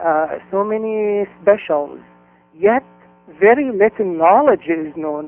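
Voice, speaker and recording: A man's high voice with an Arabic accent, at a fairly slow pace, with ordinary pitch variation and music in the background. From Egypt, Cairo. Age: 50s. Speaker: independent egyptologist and author. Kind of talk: interview. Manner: halting, many fillers.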